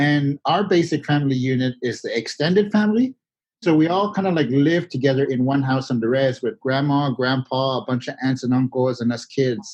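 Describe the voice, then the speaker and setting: A man with a Florida accent speaks at a fairly quick pace with ordinary pitch variation. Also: fairly high pitch for a man. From Miccosukee Reservation, Everglades, Florida. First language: Miccosukee. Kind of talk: interview. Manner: casual, many filler words.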